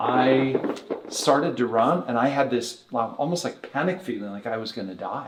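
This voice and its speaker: A man of medium pitch talks while noticeable noise carries on in the background. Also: ordinary pitch variation, moderate pace. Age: 60s. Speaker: bodywork therapy director. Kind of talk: podcast interview. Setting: podcast recording in Las Vegas.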